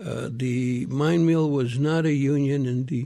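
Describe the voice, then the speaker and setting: This man speaks with an American accent in a dark, mellow tone. His pitch sits in the medium range and varies in an ordinary way. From Miami, Arizona (with stints in Mexico). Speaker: retired politician and activist. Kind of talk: radio interview. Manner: halting, many repetitions.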